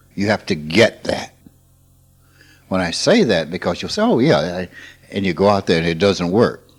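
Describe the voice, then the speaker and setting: A man with a Mississippi accent speaks in a very deep, low pitch with ordinary pitch variation. Long, frequent pauses break up his speech. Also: moderate pace. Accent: Southern US, Mississippi. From US South. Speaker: spiritual teacher. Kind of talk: informal spiritual talk.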